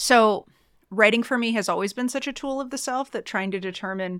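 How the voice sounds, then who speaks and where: Talking at a fairly quick pace with an American accent, a woman has an unremarkable speaking voice and ordinary pitch variation. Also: very clean recording, silent background. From US Midwest, Chicago suburbs. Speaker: writer and creative writing program chair. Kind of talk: casual interview. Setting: studio.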